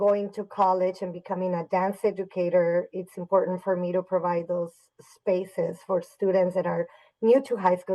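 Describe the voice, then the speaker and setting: A dark, mellow tone with monotone, flat intonation at a moderate pace. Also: woman. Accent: Spanish. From Mexico (Torreon, Coahuila), moved to Dallas at 12. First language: Spanish. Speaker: high school dance teacher. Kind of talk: podcast interview.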